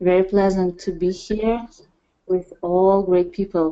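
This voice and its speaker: At a fairly slow pace, a woman with a Russian accent speaks at a medium pitch with fairly even intonation. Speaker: parenting project leader. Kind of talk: presentation. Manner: halting. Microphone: connection sometimes drops.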